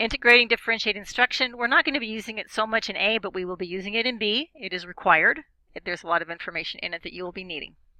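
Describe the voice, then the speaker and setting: A woman speaks at a very fast pace with a fairly high pitch and a bright, sharp tone. Her loudness swings widely, and the sound is dry and close with no echo. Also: ordinary pitch variation. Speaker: university instructor. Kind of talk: recorded course overview lecture.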